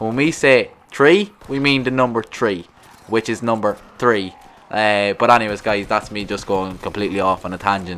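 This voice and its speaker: With a strong Irish accent, a man talks at a moderate pace in a fairly low pitch with ordinary pitch variation. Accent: thick rural Irish. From rural Ireland. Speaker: gaming YouTuber. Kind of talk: casual vlog monologue. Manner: halting, repetitive.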